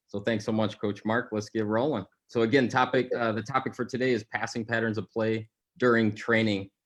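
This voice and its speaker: A man with a medium-pitched voice talks at a fairly quick pace in a flat monotone. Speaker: soccer coach. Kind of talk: live coaching webinar. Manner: fast.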